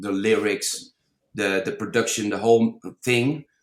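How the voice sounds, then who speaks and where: A man with a non-native accent speaks at a fairly slow pace in a fairly low pitch. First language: not English. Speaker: DJ and music producer. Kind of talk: podcast interview. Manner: halting, repeats words.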